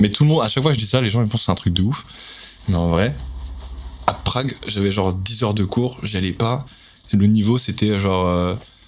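A man talks at a fairly quick pace in a fairly low pitch with ordinary pitch variation. Long, frequent pauses break up his speech, and background noise is noticeable. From Paris, 12th arrondissement. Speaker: singer and rapper. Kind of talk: casual chat.

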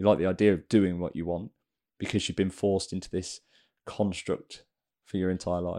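An English-accented man speaks at a fairly quick pace in a very deep, low pitch, with monotone, flat intonation. Long, frequent pauses break up the speech in a very clean recording with a silent background. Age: 20s. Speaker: personal trainer and podcast host. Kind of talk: casual chat.

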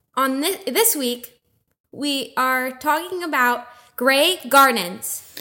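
A woman's raised, projected voice, high-pitched and very slow, with a bright, sharp tone and lively intonation. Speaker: guest, host's girlfriend. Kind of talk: casual chat.

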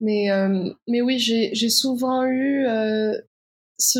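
A somewhat breathy voice in a monotone, flat intonation. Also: woman. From Morocco. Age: 20s. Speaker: documentary filmmaker. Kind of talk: interview. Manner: halting.

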